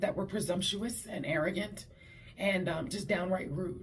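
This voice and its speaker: Somewhat breathy, a woman of medium pitch speaks at a moderate pace amid audible room echo. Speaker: vlogger. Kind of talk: casual vlog talk.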